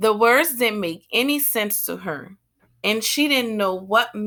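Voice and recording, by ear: A quiet background behind a natural voice reading aloud.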